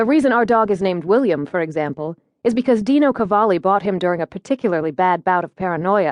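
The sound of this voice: Someone reads in an unforced voice. All around is quiet.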